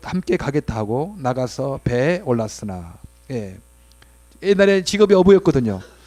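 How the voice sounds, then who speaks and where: A man speaks at a moderate pace in a fairly high pitch with a dark, mellow tone, captured in a very clean recording against a silent background. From South Jeolla, Mokpo, South Korea. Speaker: pastor. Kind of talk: sermon. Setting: church worship service.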